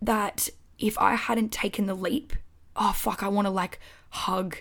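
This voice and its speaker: A woman puts on a raspy character voice at a medium pitch. She keeps to a moderate pace. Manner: emotional.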